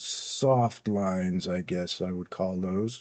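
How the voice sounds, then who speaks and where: At a very slow pace, a man with a fairly low pitch and a dark, mellow tone talks with ordinary pitch variation. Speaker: coin dealer and livestream host. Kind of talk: live auction stream. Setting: livestream. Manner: calm, soothing cadence; hesitant, many fillers.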